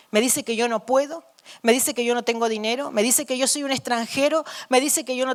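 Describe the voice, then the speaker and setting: A woman talks at a fairly quick pace with a high pitch and ordinary pitch variation. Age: 60s. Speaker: missionary preacher. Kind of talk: sermon. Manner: halting.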